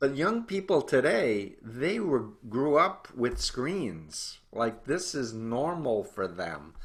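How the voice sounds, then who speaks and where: A man with a medium pitch and vocal fry speaks very slowly with hardly any pauses, his pitch swinging very widely. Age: 60s. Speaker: cult researcher and author. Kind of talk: interview.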